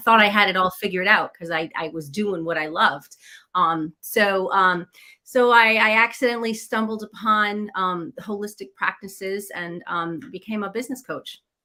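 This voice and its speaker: Speaking at a moderate pace with a New England accent, a woman has a medium pitch and a bright, sharp tone. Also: ordinary pitch variation. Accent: American (New England). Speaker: business coach, former chef. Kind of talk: interview.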